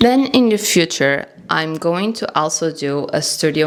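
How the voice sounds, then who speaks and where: A woman with a non-native accent talks at a fairly low pitch with lively intonation. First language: not English. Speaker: bookish journaling vlogger. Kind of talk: casual vlog talk to camera. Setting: home studio. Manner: informal, hesitant.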